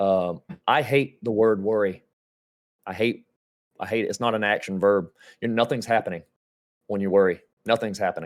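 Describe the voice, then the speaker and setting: In a very clean recording with a silent background, a man with a Georgia accent speaks at a fairly quick pace broken by long, frequent pauses. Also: fairly low pitch for a man. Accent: Georgia Southern US. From US South. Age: 30s. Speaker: gaming streamer. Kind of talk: casual chat. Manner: animated.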